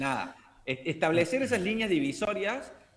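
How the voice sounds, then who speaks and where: His pitch swings very widely from phrase to phrase. The man keeps to a moderate tempo. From Argentina, Córdoba. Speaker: language teacher. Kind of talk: casual chat.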